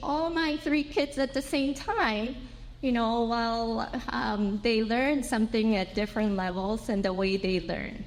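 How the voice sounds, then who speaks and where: With a Japanese accent, a woman speaks at a high pitch and a moderate pace with lively intonation. Noticeable background noise and audible room echo are present. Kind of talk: conference presentation. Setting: symposium with audience. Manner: halting, with fillers.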